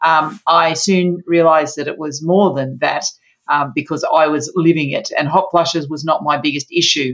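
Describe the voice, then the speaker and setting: Speaking in an Australian accent, this woman has a very deep, low pitch. Her intonation is fairly even. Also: moderate pace. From Australia, Sydney. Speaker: naturopath and menopause coach. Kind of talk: interview.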